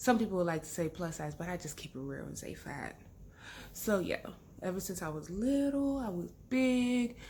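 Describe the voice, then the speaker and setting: A somewhat breathy woman with an American accent speaks at a moderate pace, her dark, mellow tone moving in very wide pitch swings. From London, then Texas from age 12. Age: 30s. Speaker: vlogger. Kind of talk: casual chat. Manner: animated.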